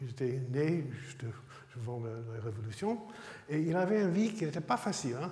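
Audible room echo surrounds a man speaking at a fairly slow pace. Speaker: emeritus research scientist lecturer. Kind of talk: lecture. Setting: lecture hall with audience. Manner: halting, hesitant. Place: hall.

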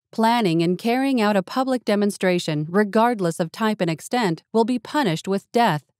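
In a very clean recording with a silent background, a woman with a normal speaking voice talks at a moderate pace and medium pitch, her intonation lively, her loudness very even, hardly any pauses, and the sound dry and close with no echo. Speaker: voice actor. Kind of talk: emergency broadcast announcement. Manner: formal, authoritative.

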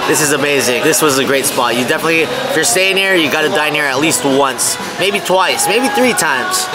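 Speech at a fairly quick pace plays over clear music in the background. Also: man. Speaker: travel vlogger. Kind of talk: casual vlog chat. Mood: relaxed, upbeat. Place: cafe. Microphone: phone near.

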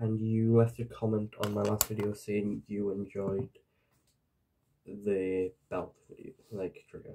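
With a Geordie accent, a soft-spoken man talks at a fairly low pitch and a fairly slow pace, his dark, mellow tone flat and monotone, with big swings in loudness and long, frequent pauses. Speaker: ASMR creator. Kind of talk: ASMR roleplay. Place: home room. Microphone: webcam.

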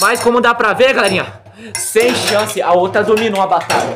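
A high-pitched man amid noticeable background noise. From Brazil. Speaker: YouTuber making homemade Beyblade tutorials. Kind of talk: tutorial; live battle commentary. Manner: animated. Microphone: phone near.

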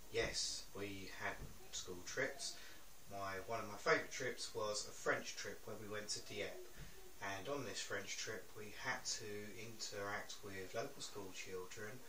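Amid light background noise and audible room echo, a man speaks at a fairly slow pace. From England, East Sussex. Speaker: interviewee. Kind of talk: interview. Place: home room.

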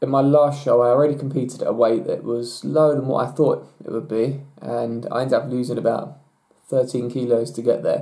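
Against a quiet background, a man talks at a moderate pace with a medium pitch and a dark, mellow tone. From England. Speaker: natural bodybuilder; bodybuilder vlogger. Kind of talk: Q&A vlog. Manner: hesitant, many fillers. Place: home room. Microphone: webcam.

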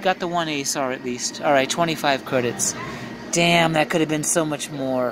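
Over noticeable background noise, a man with a fairly high pitch and ordinary pitch variation talks at a moderate pace, the sound dry with no echo. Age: 50s. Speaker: video poker vlogger. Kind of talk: casual live gameplay commentary. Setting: casino. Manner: animated. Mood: playful, mildly frustrated. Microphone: phone near.

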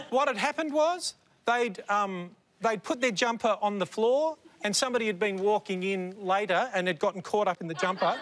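A man talks at a high pitch and a moderate pace. Light background noise sits behind him. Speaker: comedian panellist. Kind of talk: comedic anecdote on a panel show. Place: studio. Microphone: lapel.

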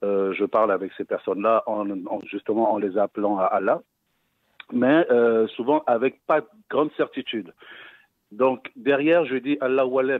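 A man's fairly slow speech with long, frequent pauses and ordinary pitch variation, dry with no echo against a quiet background. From West Africa. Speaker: caller. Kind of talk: phone-in question. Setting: phone call. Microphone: phone line.

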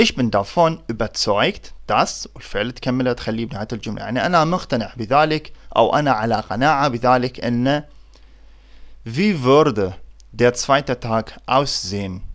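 A man with an Iraqi accent at medium pitch, lively in intonation and fairly slow in pace, on a very clean recording with a silent background. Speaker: German language teacher. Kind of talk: tutorial.

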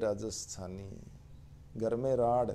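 A man's dark, mellow voice at medium pitch, with ordinary pitch variation and audible room echo. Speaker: professor and literary editor. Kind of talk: online literary lecture.

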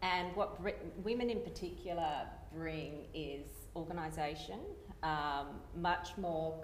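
With an Australian accent, a woman speaks at a very deep, low pitch and a fairly slow pace. Noticeable background noise runs underneath. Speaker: engineer. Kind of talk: panel discussion.

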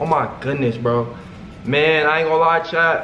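Over light background noise and audible room echo, a man talks at a fairly slow pace with ordinary pitch variation. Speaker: content creator. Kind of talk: casual vlog chat. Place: home room.

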